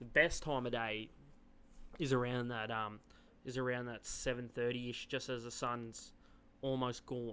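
A man with an Australian accent speaks in a flat, monotone way, leaving long, frequent pauses. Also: medium pitch for a man, moderate pace. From Yass, New South Wales, Australia. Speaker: rodeo team roper. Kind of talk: casual chat. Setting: studio.

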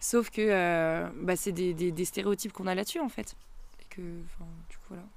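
A woman with an unremarkable speaking voice, medium pitch and ordinary pitch variation, big swings in loudness, at a fairly slow pace. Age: 20s. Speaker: psychology student. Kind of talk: casual chat.

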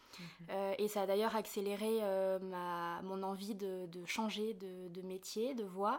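A woman's medium-pitched voice, monotone and flat in intonation, at a very slow pace. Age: 20s. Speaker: artist and trainee interior decorator. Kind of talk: interview. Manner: halting, with frequent hesitations.

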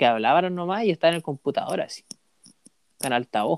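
Recorded dry and close with no echo, the voice has ordinary pitch variation and a Chilean accent. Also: man. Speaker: university student podcaster. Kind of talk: casual chat.

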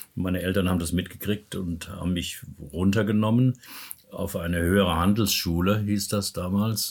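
A man speaks at a moderate pace in a very deep, low, somewhat breathy voice with fairly even intonation. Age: 70s. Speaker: personal development coach and therapist. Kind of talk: interview.

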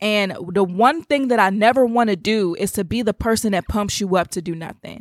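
Here is a woman with an unremarkable speaking voice at medium pitch, using ordinary pitch variation. She talks at a fairly quick pace with hardly any pauses, in a dry, close sound with no echo. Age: 20s. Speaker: podcast host, faith and business coach. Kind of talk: casual devotional monologue.

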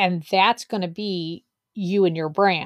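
A woman speaks in a plain, everyday voice at medium pitch. Her fairly slow delivery has a dry, close sound with no echo. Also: very clean recording, silent background. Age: 40s. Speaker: podcast co-host and business coach. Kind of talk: casual chat.

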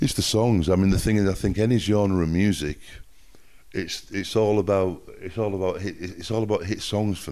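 Speaking with a Yorkshire accent, a man uses a fairly low pitch, a dark, mellow tone and fairly even intonation. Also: moderate pace. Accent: northern English (Yorkshire). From northern England, Hull (Yorkshire). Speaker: music producer. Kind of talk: casual interview chat. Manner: halting, with many fillers.

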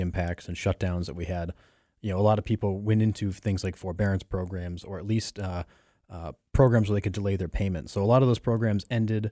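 A man talks at a very fast pace with a fairly low pitch and a dark, mellow tone. The sound is dry and close, with no echo. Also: very clean recording, silent background. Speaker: radio co-host. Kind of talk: casual radio chat. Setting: radio studio.

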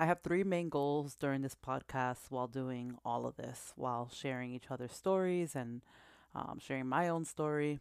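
Spoken with an American accent at a moderate pace, the voice shows ordinary pitch variation on a very clean recording with a silent background. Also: woman. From Massachusetts. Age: 20s. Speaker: podcast host. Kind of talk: testimony.

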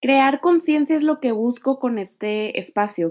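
A woman's unremarkable speaking voice at a fairly slow pace, with ordinary pitch variation. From Mexico. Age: 20s. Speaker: nutrition student and podcaster. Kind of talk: solo podcast monologue.

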